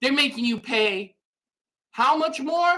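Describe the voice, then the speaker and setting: Loud and animated, the voice has a bright, sharp tone and very wide pitch swings. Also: woman. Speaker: gaming YouTuber. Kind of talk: rant video.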